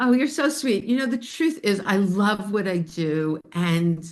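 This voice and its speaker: A woman's medium-pitched voice with lively intonation over a quiet background. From New York, Spring Valley area. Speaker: bone health educator and podcast host. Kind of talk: casual chat with live webinar audience.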